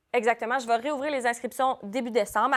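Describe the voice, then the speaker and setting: At a fairly quick pace, a woman speaks with fairly high pitch in a very clean recording with a silent background. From New Brunswick, Canada. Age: 20s. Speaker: dance school director. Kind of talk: casual interview. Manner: fast.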